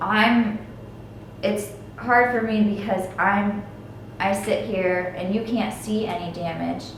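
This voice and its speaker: A woman at a medium pitch, flat and monotone, very slow with long, frequent pauses, amid audible room echo and noticeable background noise. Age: 20s. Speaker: stroke survivor. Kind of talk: personal testimony. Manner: halting, trips over words.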